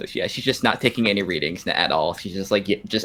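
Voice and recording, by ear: Someone reads aloud here in a natural voice.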